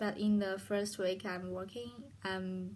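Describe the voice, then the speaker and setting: A woman speaks in a Chinese accent. Her voice is somewhat breathy. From China. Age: 20s. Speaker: hospitality student. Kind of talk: internship presentation. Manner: halting.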